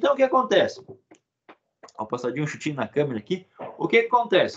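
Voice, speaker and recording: With a high pitch and very wide pitch swings, a man talks at a very fast pace. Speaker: religious teacher. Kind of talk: lecture.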